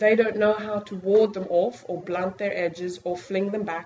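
A woman with a South African accent speaks at a medium pitch and a fairly slow pace. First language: Afrikaans. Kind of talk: lecture. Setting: stage with audience.

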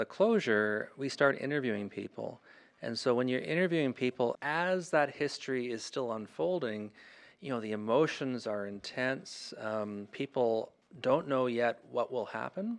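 Against a quiet background, a man with a Canadian accent speaks at a moderate pace with medium pitch and lively intonation. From Northern Ontario, Canada (Thunder Bay). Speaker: historian and author. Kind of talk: interview. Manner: halting, many fillers and repetitions.

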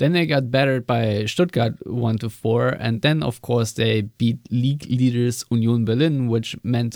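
With a German accent, a man speaks at a fairly slow pace with hardly any pauses, using a medium pitch and ordinary pitch variation, in a dry, close sound with no echo. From Germany. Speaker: football podcast host. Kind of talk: casual chat.

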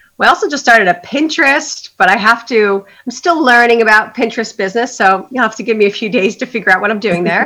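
Her voice is fairly high, with a bright, sharp tone and some vocal fry. The woman talks at a fairly quick pace on a very clean recording with a silent background. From Long Island, New York. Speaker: small business co-founder. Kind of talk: casual interview.

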